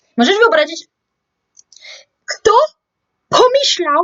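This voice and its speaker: A woman speaks with very wide pitch swings. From France. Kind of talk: casual talk to camera.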